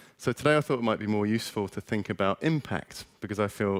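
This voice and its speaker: This man talks at a very fast pace in a fairly low pitch, with an English accent and ordinary pitch variation. The recording is very clean, the background silent. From England, West Country (North Devon). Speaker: education lecturer. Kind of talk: presentation to audience. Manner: casual, upbeat.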